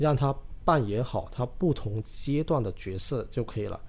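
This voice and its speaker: At a fairly slow pace, a man speaks in a fairly high pitch, with a dark, mellow tone, a somewhat breathy quality and lively intonation. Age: 30s. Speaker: real estate podcast co-host. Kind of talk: casual chat.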